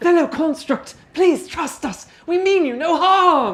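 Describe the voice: This is a put-on character voice at an extremely high pitch. The pace is fairly slow.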